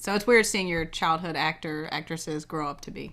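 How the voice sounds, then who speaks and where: Very fast, bright, sharp speech in an American accent, on a very clean recording with a silent background. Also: woman. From US South, Savannah Georgia. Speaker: podcast co-host, homeschooling parent. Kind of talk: casual chat.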